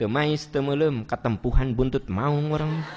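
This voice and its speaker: This man talks at a very slow pace with a fairly high pitch. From West Java (Sundanese). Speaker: Islamic preacher. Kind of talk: sermon with Q&A.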